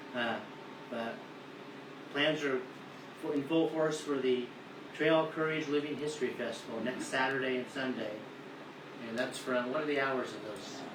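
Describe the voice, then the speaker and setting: There is noticeable background noise behind a man. He speaks at a moderate pace with long, frequent pauses. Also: medium pitch for a man, fairly even intonation. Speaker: bank representative and co-host of the radio program. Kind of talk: radio show banter and bank advertisement read.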